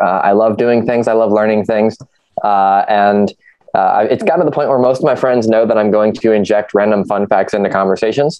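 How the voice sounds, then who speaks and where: Speaking at a moderate pace with a Midwestern American accent, a man keeps a fairly low pitch, ordinary pitch variation and very even loudness. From US Midwest, Ohio. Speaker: youth nonprofit team member, educator. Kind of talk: casual chat.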